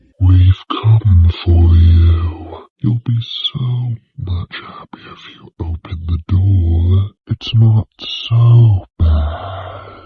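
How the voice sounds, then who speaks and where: A man's whispered, put-on character voice, very slow and with hardly any pauses. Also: big swings in loudness. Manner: persuading.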